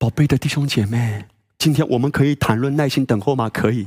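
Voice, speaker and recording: A man talks at medium pitch with ordinary pitch variation and a somewhat breathy quality. The sound is dry and close, with no echo. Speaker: pastor. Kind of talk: sermon. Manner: animated.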